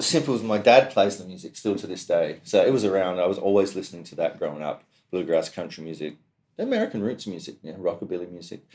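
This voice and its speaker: A man talks at a very fast pace with a fairly low pitch. His intonation is lively, and his loudness swings widely. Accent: Australian. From South Australia, Adelaide. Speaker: mandolin player. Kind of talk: interview. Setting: music store room.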